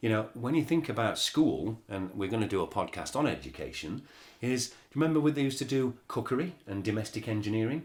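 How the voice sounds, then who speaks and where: This man speaks at a very fast pace in a medium pitch, somewhat breathy, with ordinary pitch variation. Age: 60s. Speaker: podcast host. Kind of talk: casual chat. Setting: studio.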